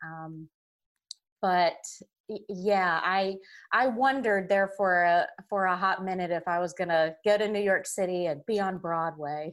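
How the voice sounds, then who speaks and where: A woman with a Southern US accent and fairly even intonation, on a very clean recording with a silent background. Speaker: podcast guest. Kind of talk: casual interview.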